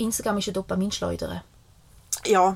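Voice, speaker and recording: A somewhat breathy female voice. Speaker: podcast co-host. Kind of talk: casual chat. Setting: caravan studio.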